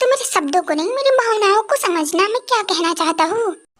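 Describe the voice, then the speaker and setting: Doing a put-on character voice, a woman speaks at a fairly quick pace in an extremely high pitch with lively intonation. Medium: fan dub.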